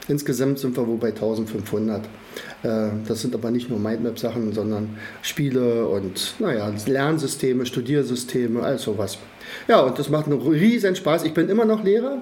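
A man talks at a moderate pace in audible room echo, with noticeable background noise. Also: medium pitch for a man, ordinary pitch variation. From Brandenburg, Germany. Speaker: learning methods trainer, academy founder. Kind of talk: interview.

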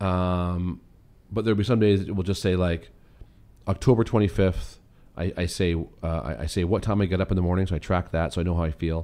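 Very deep and low in pitch, a man speaks at a fairly quick pace in a dark, mellow tone with ordinary pitch variation. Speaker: podcast co-host; runs a summer camp. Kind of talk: casual conversational podcast chat.

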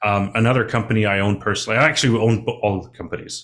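In a normal speaking voice, a man talks at a fairly quick pace with fairly even intonation and fairly low pitch, on a very clean recording with a silent background. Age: 30s. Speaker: mining finance consultant. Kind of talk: casual interview.

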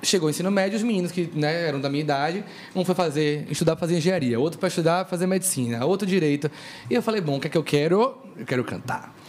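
Noticeable background noise runs under a man's high-pitched voice. He talks at a very fast pace with ordinary pitch variation. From Brazil, Salvador (Bahia). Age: young. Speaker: singer. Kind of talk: casual chat.

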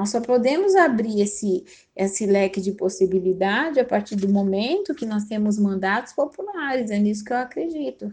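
Fairly high in pitch, a woman with an ordinary speaking voice talks at a moderate pace with lively intonation and hardly any pauses. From São Paulo city, Brazil. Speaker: teacher and political candidate. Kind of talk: interview.

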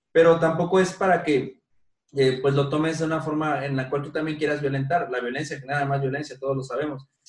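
Fairly high in pitch and somewhat breathy, a man speaks at a fairly quick pace with fairly even intonation. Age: 30s. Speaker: podcast host. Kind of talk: casual chat. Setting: at home.

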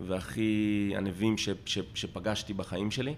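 Flat, monotone delivery from a man pitched fairly low. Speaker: crisis management business owner, ice swimmer. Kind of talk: casual interview conversation. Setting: at his home.

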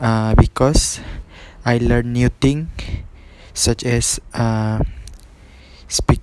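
A man's medium-pitched voice at a very slow pace, with noticeable background noise. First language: not English. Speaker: university student training to be a teacher. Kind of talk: solo podcast monologue for class assignment. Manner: halting, many fillers and repetitions.

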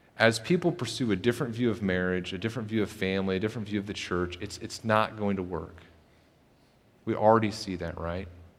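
Talking at a very fast pace, a man with a fairly low voice uses ordinary pitch variation. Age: 40s. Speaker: pastor. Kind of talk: sermon. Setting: church with congregation. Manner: halting, frequent repetitions.

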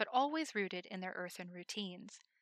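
Recorded very cleanly against a silent background, with a dry, close sound and no echo, a woman talks at a moderate pace in a medium pitch and a bright, sharp tone. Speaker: fanfiction author and reader. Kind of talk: reading aloud.

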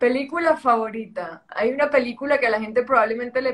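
A woman in a strong Colombian coastal accent speaks with fairly even intonation. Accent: strong Colombian coastal (costeño). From Colombia, Caribbean coast (Santa Marta). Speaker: entrepreneur and model. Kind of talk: interview conversation.

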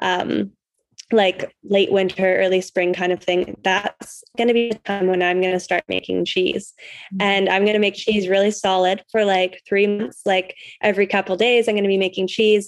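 A moderate pace and monotone, flat intonation, with a Western Canadian accent. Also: woman. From Canada. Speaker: cheesemaking teacher and rancher. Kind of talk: casual interview.

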